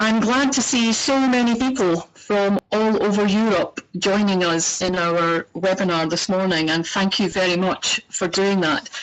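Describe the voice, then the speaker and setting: A woman speaks in a Scottish accent at a medium pitch, with ordinary pitch variation. Her pace is fairly slow and her loudness very even. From Scotland. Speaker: organization director. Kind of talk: webinar introduction. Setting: online webinar. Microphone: poor microphone.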